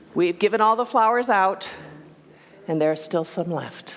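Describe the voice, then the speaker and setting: With noticeable background noise behind her, a woman speaks at a medium pitch with lively intonation. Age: 60s. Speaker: minister. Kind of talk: sermon. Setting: church.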